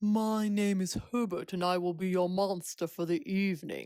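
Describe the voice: This breathy, put-on character voice sits at a middle pitch. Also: moderate pace.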